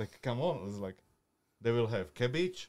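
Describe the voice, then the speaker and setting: With a Slovak accent, a man talks using lively intonation. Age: 30s. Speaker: butcher and grill cook. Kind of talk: casual chat. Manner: halting.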